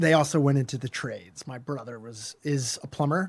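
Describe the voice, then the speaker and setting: On a very clean recording with a silent background, a man with a Philadelphia accent speaks fairly quickly in a fairly high voice with fairly even intonation. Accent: American, Philadelphia. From US Northeast, Philadelphia suburbs. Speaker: lawyer. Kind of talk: interview. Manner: conversational, with fillers.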